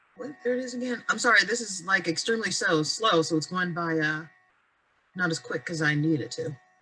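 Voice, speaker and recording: Using an American accent, a woman talks at a fairly quick pace with fairly low pitch and lively intonation. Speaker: adult education teacher. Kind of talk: webinar presentation. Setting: video call. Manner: fast.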